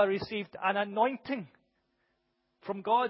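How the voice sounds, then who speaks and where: Loud and high-pitched, a man speaks with fairly even intonation. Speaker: preacher. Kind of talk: sermon. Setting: church with congregation.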